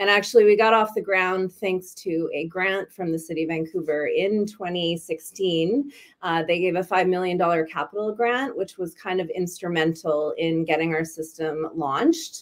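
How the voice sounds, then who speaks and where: An unremarkable speaking voice: a woman with a Canadian accent, medium pitch, ordinary pitch variation, moderate pace and hardly any pauses. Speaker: bike share executive. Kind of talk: webinar presentation.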